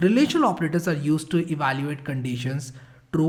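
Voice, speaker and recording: A somewhat breathy man at a very fast pace, with ordinary pitch variation. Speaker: programming instructor. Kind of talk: tutorial.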